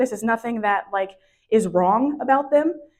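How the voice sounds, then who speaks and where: The voice is a woman's. It sits rather high in pitch. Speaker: professional organizer. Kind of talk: workshop presentation. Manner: fast.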